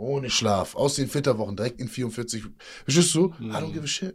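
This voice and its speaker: A somewhat breathy voice at a moderate pace, on a very clean recording with a silent background. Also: man. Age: 30s. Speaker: fitness and mindset coach, former inmate. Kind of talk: casual interview. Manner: animated.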